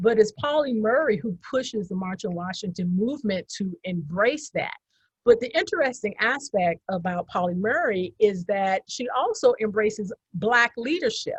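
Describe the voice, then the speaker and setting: A woman's somewhat breathy, fairly high voice at a moderate pace, with lively intonation and a dry, close sound with no echo. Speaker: historian panelist. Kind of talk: lecture-style slide presentation.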